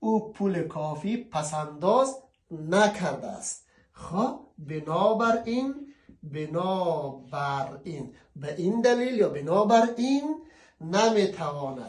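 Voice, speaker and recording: A man in an Afghan accent speaks at a very slow pace, his high pitch moving in very wide swings. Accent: Afghan Dari (Kabuli) Persian. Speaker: language teacher. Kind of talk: tutorial. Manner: casual.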